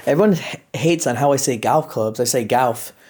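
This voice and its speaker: An American accent marks this man's animated tone. He keeps a moderate pace with ordinary pitch variation. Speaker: urban explorer vlogger. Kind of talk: casual vlog commentary. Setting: outdoors and inside abandoned mansion. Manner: animated, casual.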